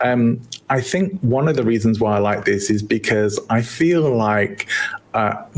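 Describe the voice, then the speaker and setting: A man with an English accent speaks at a medium pitch amid noticeable background noise. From England.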